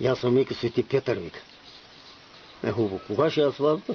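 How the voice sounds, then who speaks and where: In an Asia Minor accent, a man speaks at a moderate pace and medium pitch with lively intonation. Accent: Asia Minor Bulgarian dialect. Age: old. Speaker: folk storyteller. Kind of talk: telling traditional parables.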